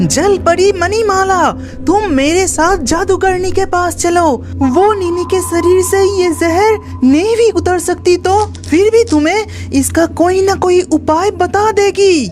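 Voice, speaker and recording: A cartoonish character voice at an extremely high pitch, fairly slow in pace with hardly any pauses, over clear background music. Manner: earnest, caring.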